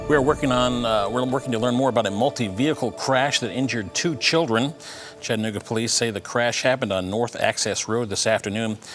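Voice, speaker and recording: A medium-pitched man at a very fast pace with ordinary pitch variation, music in the background. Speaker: television news anchor. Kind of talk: television news anchor delivery.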